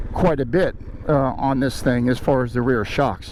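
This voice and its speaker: A man at a fairly slow pace with noticeable background noise. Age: 60s. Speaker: motorcycle vlogger. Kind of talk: casual review vlog.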